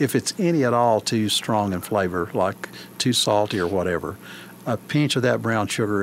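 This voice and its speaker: Speaking at a moderate pace, a man with an Appalachian accent has a fairly low pitch. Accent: Appalachian Southern. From Scott County, Virginia. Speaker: country ham curer. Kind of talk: interview.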